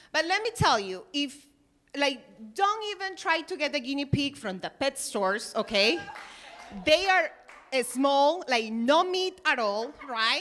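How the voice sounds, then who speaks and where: A woman speaks in a high pitch with a bright, sharp tone. Her pace is fairly slow, and her pitch swings very widely. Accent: strong Peruvian. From Peru. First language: Spanish. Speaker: stand-up comedian. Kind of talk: stand-up. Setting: stage with audience.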